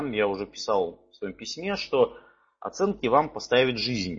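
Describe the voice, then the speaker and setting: The speech moves at a very slow pace. Its pitch swings very widely. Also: man. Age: 30s. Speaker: personal finance trainer. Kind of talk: webinar lecture. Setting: online webinar. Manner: halting, many fillers.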